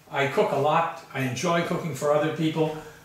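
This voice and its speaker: A man talks with fairly even intonation, and audible echo fills the room. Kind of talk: casual home tour. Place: kitchen.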